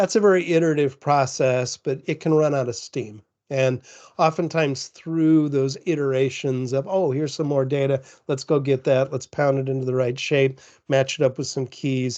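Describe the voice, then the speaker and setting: A man with a fairly high pitch talks at a moderate pace with fairly even intonation against a quiet background. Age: 60s. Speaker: conference speaker on business intelligence. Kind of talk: technical presentation. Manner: halting, with frequent repetitions.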